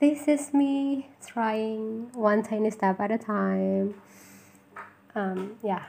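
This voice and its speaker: A woman's fairly high voice with ordinary pitch variation and an Indonesian accent. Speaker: podcaster. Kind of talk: solo podcast intro monologue. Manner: halting, with fillers and self-corrections.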